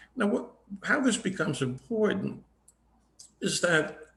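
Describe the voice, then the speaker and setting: A man is speaking. His pitch swings very widely. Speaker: judge running for court. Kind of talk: candidate forum speech. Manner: fast; halting, many fillers and repeats.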